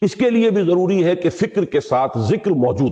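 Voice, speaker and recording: This man's dark, mellow tone is somewhat breathy, and his pitch swings very widely. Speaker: Islamic scholar giving a Quran lecture. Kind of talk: religious lecture (bayan).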